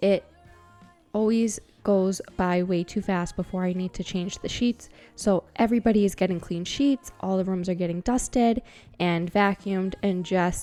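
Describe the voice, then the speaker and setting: A woman's relaxed tone at a medium pitch, a fairly slow pace and fairly even intonation, with music in the background. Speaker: cleaning vlogger. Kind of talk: casual voiceover narration. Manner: relaxed, chatty.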